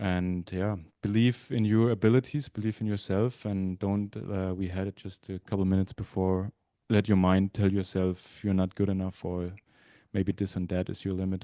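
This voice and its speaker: A man with a German accent speaks at a moderate pace in a very deep, low pitch and a dark, mellow tone, with monotone, flat intonation and a dry, close sound with no echo over a quiet background. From southwest Germany (Freiburg area). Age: 30s. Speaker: ice hockey goalie. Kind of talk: interview.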